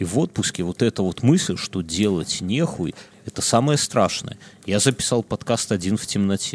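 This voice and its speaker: With lively intonation, a man speaks at a moderate pace and a fairly low pitch, the sound dry and close with no echo. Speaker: podcast co-host. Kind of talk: casual chat. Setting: studio. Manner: animated.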